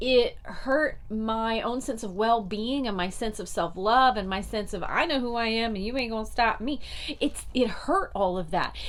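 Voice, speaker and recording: A woman with an American accent talks in an animated tone at a fairly high pitch. Her pace is moderate, with audible room echo. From US South, North Carolina. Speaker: motivational vlogger. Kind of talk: motivational talk to camera.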